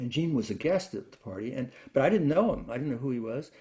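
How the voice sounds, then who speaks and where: Lively intonation marks this man's medium-pitched, somewhat breathy voice with a dark, mellow tone. He speaks at a very fast pace in an American accent. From New York, Brooklyn. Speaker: classical guitarist and lutenist. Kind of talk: interview. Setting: video call. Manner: halting.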